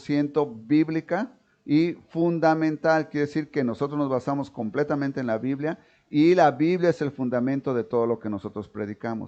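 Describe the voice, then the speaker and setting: Against a quiet background, a man with a dark, mellow tone and fairly high pitch talks at a moderate pace with ordinary pitch variation. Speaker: pastor. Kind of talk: sermon. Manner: halting, many self-corrections.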